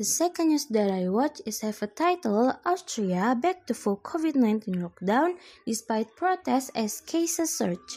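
Barely pausing, a woman with an Indonesian accent talks at a moderate pace in a high voice with very wide pitch swings. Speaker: student. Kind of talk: school assignment podcast, news summary.

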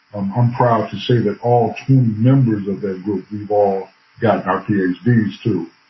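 A man with an American accent, fairly low in pitch and somewhat breathy, at a fairly slow pace with fairly even intonation. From Bloomington, Illinois, US Midwest. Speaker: professor. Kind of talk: interview.

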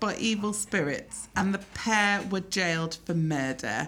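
A woman talks at a moderate pace in an animated tone. Her pitch swings very widely. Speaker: podcast host. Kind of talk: casual chat. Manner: animated, laughing.

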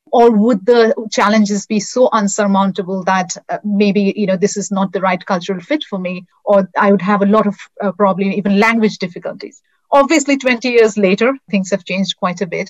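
Here a woman with an Indian accent talks at a fairly quick pace and a medium pitch, with ordinary pitch variation. Her voice is somewhat breathy, and the sound is dry and close, with no echo. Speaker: customer success executive. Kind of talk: interview.

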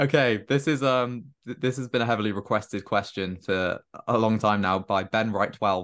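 Against a quiet background, a man with a Welsh accent talks at a moderate pace, his fairly low pitch moving with ordinary variation. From Wales, Cardiff. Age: young. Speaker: podcast host. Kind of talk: casual chat.

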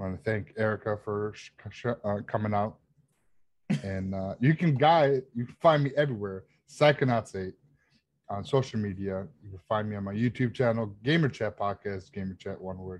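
This man has a plain, everyday voice. He talks at a moderate pace with a fairly low pitch and ordinary pitch variation. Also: big swings in loudness. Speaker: guest panelist. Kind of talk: casual chat.

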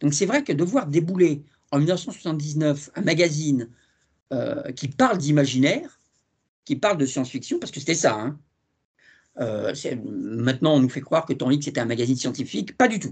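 With lively intonation, a man speaks at a moderate pace in a fairly high, somewhat breathy voice. He leaves long, frequent pauses. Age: 60s. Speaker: TV series journalist. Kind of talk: casual interview.

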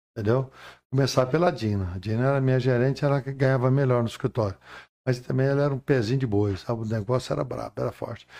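A very fast, dark, mellow male voice at a medium pitch against a quiet background. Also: ordinary pitch variation. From Goiás, Brazil. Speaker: pastor. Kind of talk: testimony.

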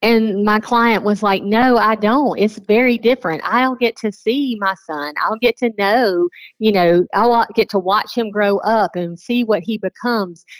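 In a normal speaking voice with an American accent, the speaker moves at a fairly slow pace with hardly any pauses and ordinary pitch variation, the sound dry and close with no echo. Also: woman, fairly high pitch for a woman. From South Carolina. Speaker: pregnancy counselor. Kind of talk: radio interview.

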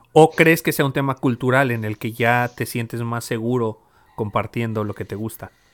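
In a Mexican accent, a man speaks at a moderate pace and medium pitch with ordinary pitch variation, the sound dry and close with no echo. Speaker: podcast host. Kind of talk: casual chat.

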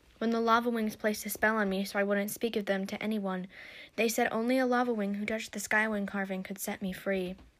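The text is given as plain reading aloud, and the intonation stays fairly even.

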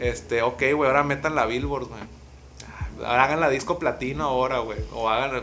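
Amid audible room echo, a man with a medium-pitched voice speaks at a moderate pace with fairly even intonation. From Mazatlán, Sinaloa, Mexico. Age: 20s. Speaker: urban music artist. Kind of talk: casual interview chat. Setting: in person at host's place.

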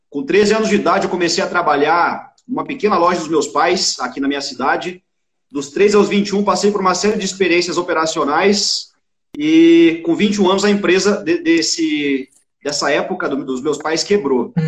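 This man speaks at a moderate pace in a high pitch. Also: ordinary pitch variation. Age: 30s. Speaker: entrepreneur. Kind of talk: casual interview.

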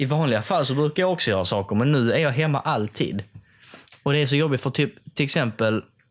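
In a very clean recording with a silent background, a man with a fairly high pitch speaks at a very fast pace, his intonation lively and his loudness very even. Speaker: podcast host. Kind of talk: casual chat.

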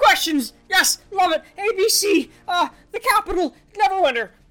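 Shouting in a put-on character voice, the speaker hits an extremely high pitch. The pace is fairly slow. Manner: shouting, manic.

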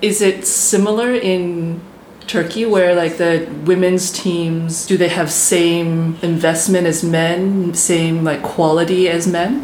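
Amid noticeable background noise and audible room echo, a fairly low-pitched woman speaks at a very slow pace with fairly even intonation and very even loudness. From North America. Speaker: podcast host. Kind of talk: interview.

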